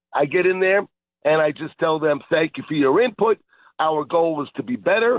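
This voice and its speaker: A man talks in a plain, everyday voice with a fairly high pitch. His intonation is lively and his pace moderate. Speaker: fishing bait company owner. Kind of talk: radio interview.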